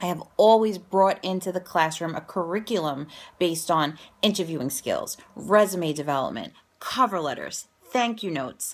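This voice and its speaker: A woman talks at a moderate pace in a medium pitch. Her intonation is lively and her tone upbeat. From New York, Staten Island. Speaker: educator and career coach. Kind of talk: promotional vlog. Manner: conversational, upbeat.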